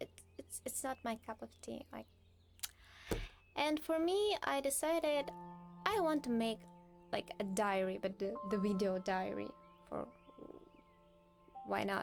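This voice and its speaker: A woman speaks with a non-native accent at a fairly slow pace, leaving long, frequent pauses. Music plays in the background. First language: not English. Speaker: doll collector vlogger. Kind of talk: unboxing video diary. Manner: halting.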